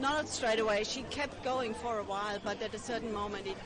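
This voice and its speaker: A woman with an Austrian accent speaks at a moderate pace in a fairly high pitch with fairly even intonation, amid audible room echo and noticeable background noise. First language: German. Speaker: rally attendee interviewed by streamer. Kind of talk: street interview. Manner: halting.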